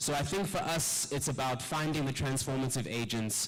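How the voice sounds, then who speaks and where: A man speaks at a moderate pace with a medium pitch and ordinary pitch variation. Noticeable background noise and audible room echo fill the recording. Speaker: climate jobs activist, panelist. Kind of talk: conference panel talk.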